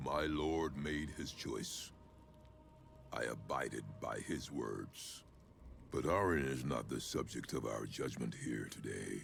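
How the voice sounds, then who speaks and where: A put-on character voice at a fairly slow pace over clear background noise. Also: man. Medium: video game. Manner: grave, imposing, deliberate.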